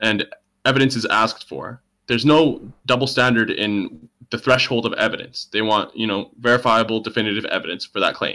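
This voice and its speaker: A man with a normal speaking voice talks at a fairly quick pace and medium pitch, his intonation fairly even. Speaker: debate participant. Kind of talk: heated debate. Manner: insistent questioner.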